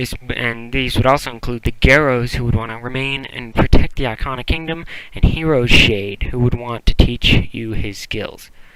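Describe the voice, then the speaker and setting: A man speaks with fairly even intonation and big swings in loudness, with noticeable background noise behind him. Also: medium pitch for a man, moderate pace. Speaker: podcast segment contributor. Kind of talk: scripted podcast segment.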